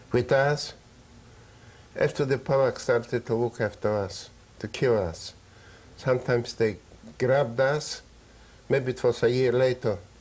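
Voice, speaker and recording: The voice is somewhat breathy, with fairly even intonation. It moves at a fairly slow pace with long, frequent pauses. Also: man, medium pitch for a man. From Poland. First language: Yiddish. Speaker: Holocaust survivor. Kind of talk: interview testimony. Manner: halting.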